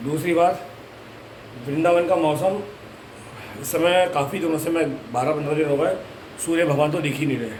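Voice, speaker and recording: At a moderate pace and fairly high pitch, a man speaks with fairly even intonation and long, frequent pauses, with audible room echo and noticeable background noise. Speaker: devotional vlogger. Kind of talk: casual vlog.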